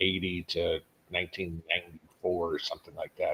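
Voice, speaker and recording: A man talks at a fairly quick pace in a normal speaking voice, his intonation fairly even. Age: 50s. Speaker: livestream host, homesteading channel. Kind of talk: casual livestream chat reading viewer comments. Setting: live stream. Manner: casual, conversational.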